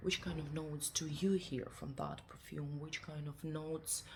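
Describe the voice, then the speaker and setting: A woman with a non-native accent and a very deep, low pitch, at a moderate pace. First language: not English. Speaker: perfume reviewer. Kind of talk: product review. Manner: halting.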